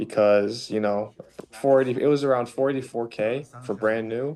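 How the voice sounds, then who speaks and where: In an American accent, a man talks in a normal speaking voice at a medium pitch with fairly even intonation. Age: young. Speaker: young homeowner. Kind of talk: video call. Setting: video call.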